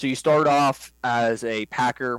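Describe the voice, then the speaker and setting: A man with an American accent speaks at a medium pitch with monotone, flat intonation. The recording is very clean, with a silent background and a dry, close sound with no echo. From western Pennsylvania, New Castle area. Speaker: hunting guide. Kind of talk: casual interview.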